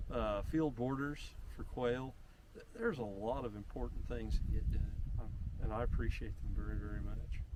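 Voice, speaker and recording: There is audible room echo as a man with a rural Missouri accent speaks at a moderate pace. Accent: Midwestern US, rural Missouri. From northwestern Missouri. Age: 60s. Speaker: conservationist. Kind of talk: casual chat. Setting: outdoors.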